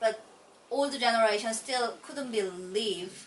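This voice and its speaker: Speaking very slowly, a woman talks with a Korean accent. Noticeable background noise is present. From South Korea. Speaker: immigrant homemaker. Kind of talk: mock speaking exam answers. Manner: halting.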